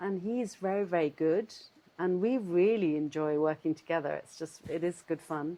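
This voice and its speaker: A woman speaks with a southern English accent. Her pitch is fairly low. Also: ordinary pitch variation, moderate pace. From London, England. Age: 60s. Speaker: cheesemaker. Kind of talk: casual interview chat. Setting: at home. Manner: halting, searching for words.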